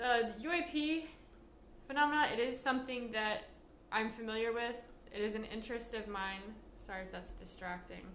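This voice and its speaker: The speech comes at a fairly quick pace with long, frequent pauses. Room echo is audible, and background noise is noticeable. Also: woman, fairly high pitch for a woman, ordinary pitch variation. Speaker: vlogger. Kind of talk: casual monologue vlog. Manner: halting.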